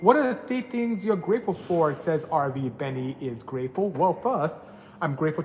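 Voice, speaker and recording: A man talks at a moderate pace, with noticeable background noise behind him. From Nigeria. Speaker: automotive engineer and tuning shop owner. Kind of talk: live stream Q&A with chat. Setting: workshop during live stream.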